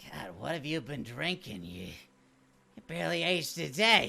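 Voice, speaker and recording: In a put-on character voice, a raspy man at medium pitch swings his pitch very widely while keeping a moderate pace. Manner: warm, joking.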